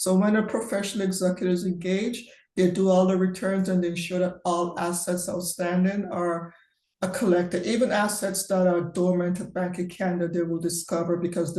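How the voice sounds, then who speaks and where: The delivery is fairly quick, with monotone, flat intonation. Audible room echo surrounds the voice. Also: woman. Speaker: estate and trust professional. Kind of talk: webinar Q&A. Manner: fast.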